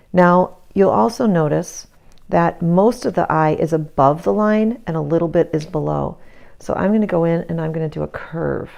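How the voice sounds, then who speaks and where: Against a quiet background, a woman mumbles at a moderate pace. Her pitch is fairly low and her intonation lively. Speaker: art teacher. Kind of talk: tutorial. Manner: mumbling.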